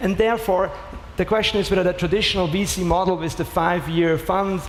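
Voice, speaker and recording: Against noticeable background noise, a man talks fairly quickly in an Austrian accent, his high voice keeping fairly even intonation. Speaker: startup founder and CEO. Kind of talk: panel discussion.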